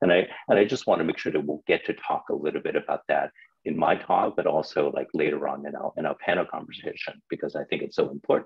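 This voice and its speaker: A man rattles along at a very fast pace, the background quiet around him. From Hong Kong. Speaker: children's book publisher. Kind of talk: panel discussion. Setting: video call. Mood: warm, smiling. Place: home room. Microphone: video call.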